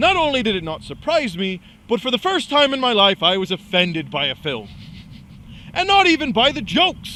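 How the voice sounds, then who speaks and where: Projecting a raised voice, a man speaks at a moderate pace with very wide pitch swings. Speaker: web show co-host. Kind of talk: casual chat. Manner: loud; animated.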